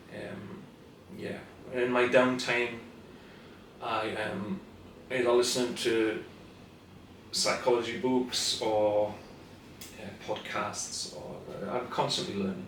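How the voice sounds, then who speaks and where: A man with a Scottish accent at medium pitch and a very slow pace, ordinary pitch variation, big swings in loudness and long, frequent pauses, with audible room echo and noticeable background noise. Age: 60s. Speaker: therapist. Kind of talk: casual interview.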